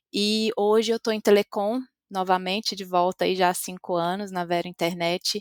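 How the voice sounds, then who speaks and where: A woman with a Minas Gerais accent talks at a medium pitch with ordinary pitch variation, the sound dry and close with no echo. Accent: Minas Gerais Brazilian Portuguese. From Brazil, Minas Gerais (interior). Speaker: customer experience executive. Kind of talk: podcast interview.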